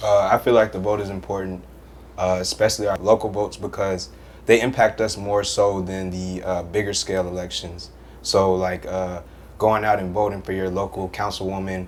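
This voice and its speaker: A fairly low-pitched man speaking at a fairly quick pace in a monotone, flat intonation, with music in the background. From Atlanta, Georgia (west side). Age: young. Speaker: college student, panel guest. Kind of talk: panel discussion.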